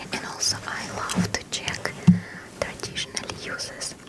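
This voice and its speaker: Someone whispers at a fairly slow pace with noticeable background noise. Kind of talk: ASMR book reading. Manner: whispered, soft-spoken.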